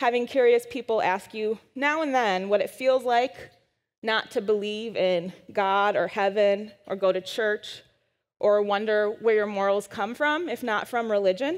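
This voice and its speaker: Against a quiet background, a woman with an American accent talks at a fairly slow pace in a fairly high pitch with ordinary pitch variation. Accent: Wisconsin accent, comes out when frustrated. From US Midwest, Madison, Wisconsin. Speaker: science writer and speaker. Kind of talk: conference talk. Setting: stage with audience.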